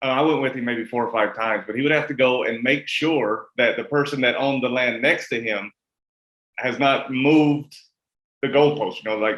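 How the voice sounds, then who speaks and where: Talking at a fairly quick pace with a Kentucky accent, a man keeps a medium pitch and fairly even intonation. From US South, rural Kentucky. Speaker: interviewer. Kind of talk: interview. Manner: casual, stammering.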